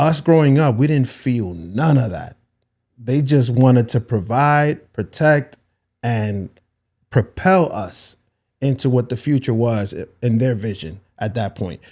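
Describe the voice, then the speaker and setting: A man with a plain, everyday voice speaks at a fairly slow pace, medium in pitch with lively intonation, on a very clean recording with a silent background. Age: 40s. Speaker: podcast host. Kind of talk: casual interview chat.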